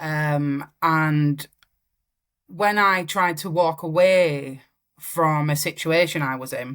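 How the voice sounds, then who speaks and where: A woman with a Yorkshire accent and a very deep, low pitch, on a very clean recording with a silent background. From northern England, Wakefield. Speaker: singer-songwriter. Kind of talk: interview.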